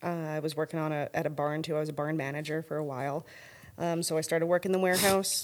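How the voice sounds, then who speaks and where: A woman with a western Canadian accent speaks at a very fast pace in a very deep, low pitch. Her intonation is monotone and flat, and the recording is very clean with a silent background. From Canada, northern Alberta. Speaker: lighting company owner. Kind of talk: casual interview.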